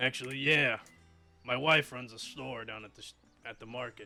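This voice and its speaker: A man puts on a weary, raspy character voice at medium pitch and a moderate pace, his loudness swinging widely over faint background music. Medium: actual play. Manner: gruff, weary.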